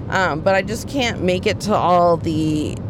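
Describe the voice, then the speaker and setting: Against noticeable background noise and audible room echo, a woman speaks with an American accent. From Texas, Dallas. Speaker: comedian. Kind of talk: casual chat. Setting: in a car.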